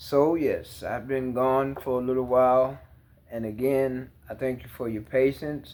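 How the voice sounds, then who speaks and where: A man speaks at a fairly slow pace and a medium pitch. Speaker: tarot reader. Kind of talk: tarot reading. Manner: slightly impaired speech.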